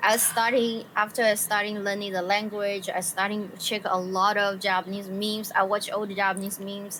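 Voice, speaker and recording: A woman with a Chinese accent talks at a moderate pace in a medium pitch, hardly pausing. Her intonation is monotone and flat, and noticeable background noise is present. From China, Sichuan. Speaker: illustrator and streamer. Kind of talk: casual chat.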